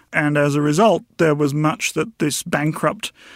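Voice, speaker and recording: A man with a New Zealand accent and a fairly high pitch, in a very clean recording with a silent background and a dry, close sound with no echo. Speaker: historian. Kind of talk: interview.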